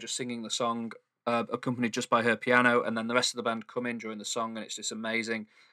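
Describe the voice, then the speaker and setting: In a Mancunian accent, a man speaks with a bright, sharp tone and monotone, flat intonation on a very clean recording with a silent background. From Manchester, England. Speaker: podcast co-host. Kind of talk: casual chat. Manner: calm.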